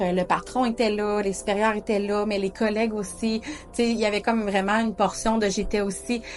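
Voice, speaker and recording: Noticeable background noise accompanies a woman speaking at a moderate pace and a medium pitch. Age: 30s. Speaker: diabetes community video host. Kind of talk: personal storytelling monologue. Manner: hesitant, frequent fillers.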